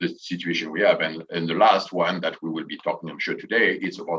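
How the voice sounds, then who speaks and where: A man with a French accent at a fairly quick pace. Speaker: tourism association president and hotel manager. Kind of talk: panel discussion.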